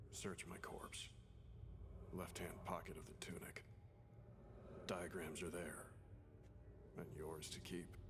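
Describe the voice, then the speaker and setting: A man whispers in a put-on character voice at a fairly slow pace over loud background noise. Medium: machinima. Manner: terse, clipped.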